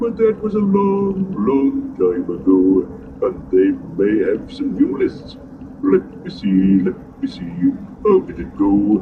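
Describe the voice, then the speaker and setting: A man puts on a character voice and speaks at a fairly slow pace, with clear background noise behind him. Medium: read story. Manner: slow, ponderous, humming.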